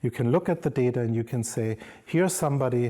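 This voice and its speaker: Somewhat breathy and dark, mellow in tone, a man with a German accent speaks at medium pitch with ordinary pitch variation in a very clean recording with a silent background. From Germany. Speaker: professor. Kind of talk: lecture.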